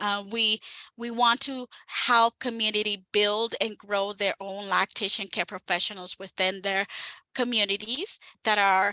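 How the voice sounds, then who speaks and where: A woman speaks at a moderate pace with fairly even intonation and a fairly high pitch. Her tone is bright and sharp, and the sound is dry and close with no echo. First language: Spanish. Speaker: breastfeeding advocate. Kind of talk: webinar presentation. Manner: hesitant, many fillers.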